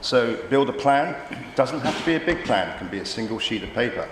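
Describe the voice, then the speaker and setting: Speaking at a fairly quick pace with lively intonation, a man is heard with audible room echo and noticeable background noise. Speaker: startup co-founder and chairman on a panel. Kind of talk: conference panel talk.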